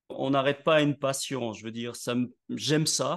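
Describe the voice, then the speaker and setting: Over a quiet background, a man with a normal speaking voice talks at a fairly slow pace, using medium pitch and fairly even intonation. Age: 60s. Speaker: network marketing leader, author and speaker. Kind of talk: interview.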